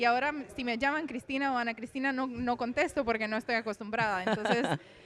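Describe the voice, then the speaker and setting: In a Romanian accent, the speaker talks at a very fast pace with fairly even intonation. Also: woman, high pitch for a woman. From Romania, then Venezuela from age 14. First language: Romanian (speaking Spanish). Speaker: poet. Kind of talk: interview.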